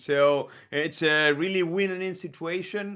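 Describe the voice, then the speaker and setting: A man speaks at a high pitch in a bright, sharp tone with ordinary pitch variation. The recording is very clean, with a silent background. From Argentina. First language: Spanish. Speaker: esports caster. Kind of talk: live commentary.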